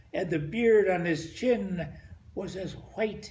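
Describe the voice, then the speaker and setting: Vocal fry runs through a man's voice as he speaks at a very slow pace. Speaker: grandfather. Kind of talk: poetry reading.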